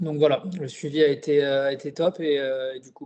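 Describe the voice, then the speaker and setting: The speaker is a man with a fairly high pitch. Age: 30s. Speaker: client giving a testimonial. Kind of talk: interview testimony. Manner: hesitant, many fillers.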